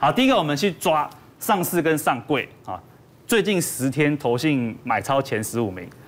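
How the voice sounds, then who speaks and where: With a fairly high pitch and very wide pitch swings, a man talks at a moderate pace. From Taiwan. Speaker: stock analyst. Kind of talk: market analysis on a talk show. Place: studio. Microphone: lapel.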